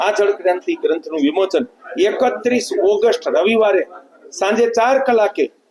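A man's high-pitched voice with lively intonation. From Gujarat, Junagadh district. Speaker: water conservation activist and author. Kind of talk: interview statement.

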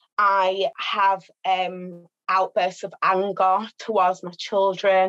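A woman speaks in a Birmingham accent against a quiet background. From Birmingham, England. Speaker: domestic abuse practitioner. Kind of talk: testimony. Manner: halting. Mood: earnest, emotional confession. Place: home room. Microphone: video call.

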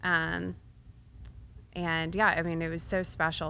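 A bright, sharp tone with an American accent. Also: woman. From Texas, Waco. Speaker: songwriter. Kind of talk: interview. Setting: stage at a music venue. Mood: fond, reminiscing. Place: studio. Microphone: studio mic.

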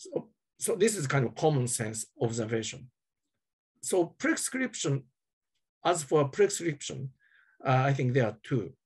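With a Japanese accent, a man speaks fairly slowly in a somewhat breathy, fairly high voice, using lively intonation. He takes long, frequent pauses over a quiet background. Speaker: journalist. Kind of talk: panel discussion. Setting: video call. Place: home room. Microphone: earbuds.

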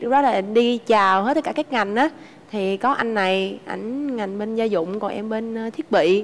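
Here a woman with a fairly high pitch speaks fairly slowly in a Southern Vietnamese accent with ordinary pitch variation. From Ho Chi Minh City, southern Vietnam. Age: 20s. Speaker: married woman, bank employee. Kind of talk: casual chat. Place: studio.

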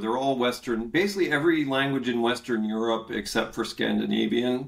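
The man's pitch varies in an ordinary way, with a quiet background behind him. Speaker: history professor, remote guest. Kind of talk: interview answer. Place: home room. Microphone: webcam.

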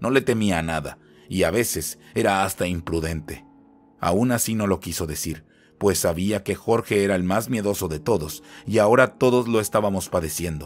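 Music plays in the background as a man talks at a moderate pace. His voice is fairly low, with ordinary pitch variation. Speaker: storyteller narrating horror legends. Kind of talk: ghost story narration, first-person horror tale. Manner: hushed, tense, building dread with pauses.

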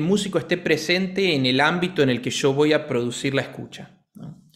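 A man talks at a moderate pace with ordinary pitch variation. The background stays quiet. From Argentina. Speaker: piano teacher and pianist; piano teacher. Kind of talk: casual chat. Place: home room. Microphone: studio mic.

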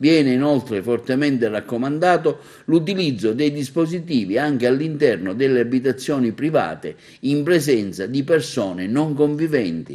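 A man with a dark, mellow tone speaks at a moderate pace with lively intonation and very even loudness, on a very clean recording with a silent background. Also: medium pitch for a man. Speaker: TV news presenter. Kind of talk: formal news reading. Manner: formal, even-paced newsreader delivery; neutral, impersonal, dense with official decree wording.

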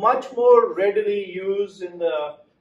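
Very slowly and with ordinary pitch variation, a man speaks amid audible room echo. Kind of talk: lecture. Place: meeting room. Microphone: camera far.

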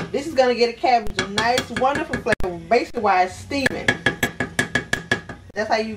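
Loud background noise runs under delivery at a fairly quick pace. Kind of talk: cooking tutorial. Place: kitchen. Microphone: camera far.

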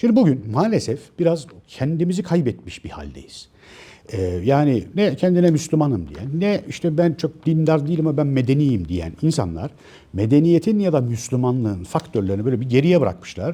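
Somewhat breathy, with a dark, mellow tone, a man speaks at a fairly high pitch and a moderate pace, his pitch swinging very widely. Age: 50s. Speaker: author and commentator. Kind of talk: monologue to camera. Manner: hesitant, many filler sounds.

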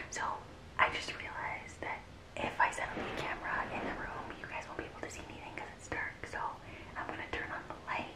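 Someone is whispering. The pace is fairly quick. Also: woman. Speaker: vlogger. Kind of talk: casual vlog chat. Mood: excited, playful. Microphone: phone near.

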